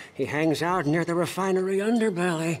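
Putting on a character voice, a man talks high for a male voice at a fairly quick pace. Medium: video game. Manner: excitable, twitchy.

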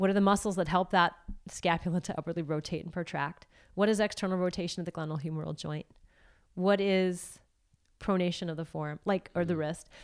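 A woman with an unremarkable speaking voice talks at a fairly quick pace, her pitch fairly low and her intonation fairly even, against a quiet background. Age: 40s. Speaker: yoga and movement educator; movement educator. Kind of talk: casual interview. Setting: in person at her home. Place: gym. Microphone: handheld.

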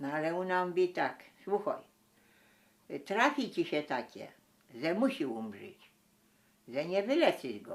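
A woman with vocal fry speaks fairly slowly, leaving long, frequent pauses. Her pitch swings very widely. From Mazovia-Lesser Poland borderland, Poland. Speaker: village folk singer and storyteller. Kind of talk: folk tale telling.

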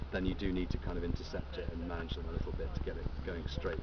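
This man's voice comes through loud background noise. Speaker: presenter. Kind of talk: lecture. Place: open country. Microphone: camera far.

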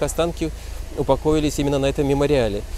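A man's voice has a dry sound with no echo and light background noise behind it. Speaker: interviewee. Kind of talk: interview answer. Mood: solemn, respectful. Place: street. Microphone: handheld.

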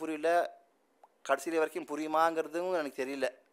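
This man has a fairly high pitch. He speaks in a flat monotone. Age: 40s. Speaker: musician; speaker. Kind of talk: speech. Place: hall. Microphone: podium.

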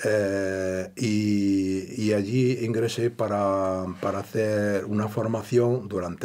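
This man has a fairly low pitch and a dark, mellow tone. His intonation stays fairly even. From Andalusia, Granada province; Andalusia. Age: 70s. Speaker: retired electrician; interview guest. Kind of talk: interview. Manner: halting. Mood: calm reminiscing. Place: studio.

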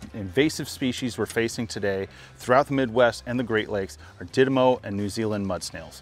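The recording is dry, without any echo. A man talks at a moderate pace. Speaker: fly fishing host. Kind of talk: educational presenting to camera. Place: waterside. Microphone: lapel.

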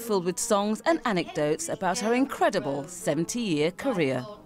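A woman speaks at a moderate pace, her pitch swinging very widely. Music plays in the background. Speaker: TV news reporter. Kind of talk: TV news report.

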